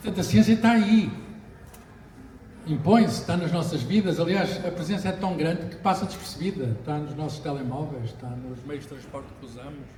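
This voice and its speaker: Amid audible room echo and noticeable background noise, a man talks at a fairly quick pace with a fairly high pitch, lively intonation and big swings in loudness. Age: 60s. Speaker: physicist. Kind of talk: book launch talk. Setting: bookshop with audience. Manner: hesitant, with fillers.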